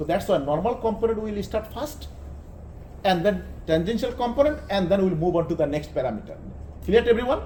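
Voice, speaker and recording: The tone is dark and mellow, with lively intonation at a fairly quick pace. Long, frequent pauses break the speech, and there is audible room echo. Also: man, high pitch for a man. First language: Bengali. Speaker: engineering lecturer. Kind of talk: lecture. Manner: halting.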